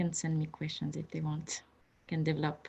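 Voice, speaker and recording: In a French accent, a woman speaks with a very deep, low pitch and a somewhat breathy voice. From France. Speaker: museum photography curator. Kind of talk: panel conversation. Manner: halting with repetitions.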